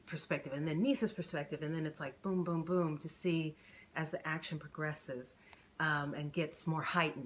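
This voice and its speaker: A woman talks at a very deep, low pitch with ordinary pitch variation. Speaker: author reading her own novel. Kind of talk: casual chat to camera. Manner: halting, self-correcting.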